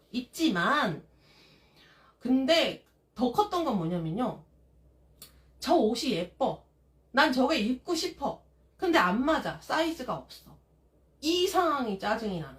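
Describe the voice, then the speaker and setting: A woman's high voice at a very slow pace, with long, frequent pauses, big swings in loudness and very wide pitch swings. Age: 40s. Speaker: live-stream vlogger, mother. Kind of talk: live stream casual chat. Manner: animated.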